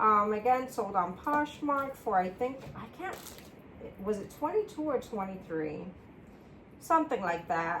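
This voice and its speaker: A woman speaks at a fairly slow pace in a fairly high pitch, her pitch swinging very widely and her loudness shifting a lot. Long pauses come often, and there is noticeable background noise. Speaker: part-time reseller and single parent. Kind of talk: casual vlog chat while packing orders.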